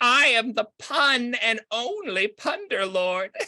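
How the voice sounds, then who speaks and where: A female-sounding, put-on character voice cackles. Its tone is menacing. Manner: menacing, cackling.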